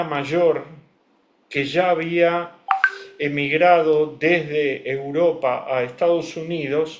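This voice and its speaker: With a Rioplatense accent, a man speaks at a fairly high pitch and with fairly even intonation, in audible room echo. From Argentina, Buenos Aires. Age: 70s. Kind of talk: interview. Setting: video call.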